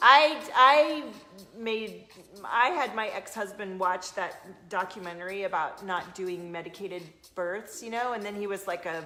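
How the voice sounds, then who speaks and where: Speaking at a fairly slow pace with a slight Southern US accent, the voice has lively intonation and big swings in loudness. There is audible room echo and noticeable background noise. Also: woman, medium pitch for a woman. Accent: slight Southern US twang. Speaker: intuitive coach and card reader. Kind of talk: live stream chat and card reading. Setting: live video stream. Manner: animated.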